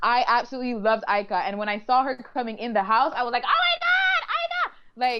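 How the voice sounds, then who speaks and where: A woman with a high pitch talks at a fairly quick pace with lively intonation. Noticeable background noise is present. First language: French. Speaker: reality show contestant. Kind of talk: casual interview. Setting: live online video stream.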